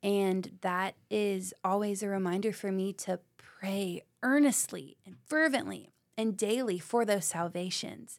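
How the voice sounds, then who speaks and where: With an East Tennessee accent, a woman talks at a fairly slow pace with hardly any pauses. Her loudness swings widely, and the recording is very clean with a silent background. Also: medium pitch for a woman, ordinary pitch variation. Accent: East Tennessee Southern US. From Knoxville, Tennessee. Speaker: middle school ministry leader. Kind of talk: casual chat.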